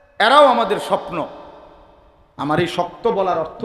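A man speaks with lively intonation, and room echo is audible around him. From Bangladesh. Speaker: Islamic preacher. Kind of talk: sermon. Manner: animated. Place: stage. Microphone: podium.

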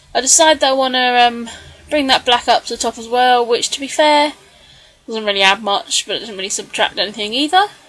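A woman's high voice at a fairly quick pace, ordinary pitch variation and big swings in loudness, over noticeable background noise. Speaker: scrapbooking video creator. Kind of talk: tutorial voiceover. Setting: home craft desk. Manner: hesitant, frequent ums.

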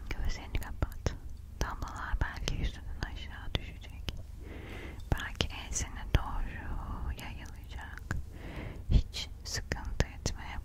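Soft-spoken and at a very slow pace, a woman talks over loud background noise, the sound dry with no echo. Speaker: ASMR creator. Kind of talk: soft-spoken ASMR role-play. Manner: soft, hushed ASMR murmur. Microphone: studio mic.

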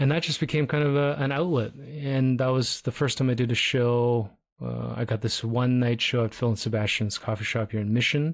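A man speaks in an ordinary speaking voice at a medium pitch and a fairly quick pace, with fairly even intonation and very even loudness. He uses hardly any pauses, on a very clean recording with a silent background. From Toronto, Canada. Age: middle-aged. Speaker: podcast host, photographer. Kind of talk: casual chat.

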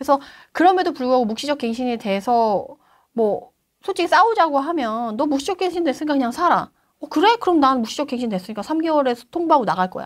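A woman with a high pitch talks very fast, with very wide pitch swings and big shifts in loudness, against a quiet background. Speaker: real estate investment expert; guest. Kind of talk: interview answer. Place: studio. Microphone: lapel.

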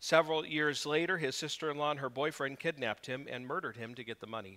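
The voice has a bright, sharp tone against a quiet background. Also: man. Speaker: preacher. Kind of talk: sermon. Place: church.

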